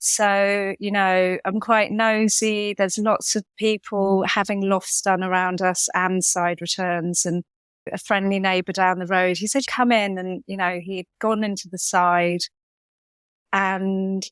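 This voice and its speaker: The recording is very clean, with a silent background and a dry, close sound with no echo. A woman speaks at a medium pitch and a fairly slow pace in a monotone, flat intonation. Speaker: homeowner renovator. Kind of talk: casual chat. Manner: loud.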